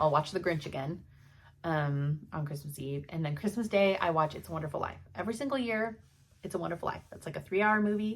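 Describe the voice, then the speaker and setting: A woman speaks fairly quickly in a fairly low, somewhat breathy voice. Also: lively intonation. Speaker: cross-stitch vlogger. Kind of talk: casual chat.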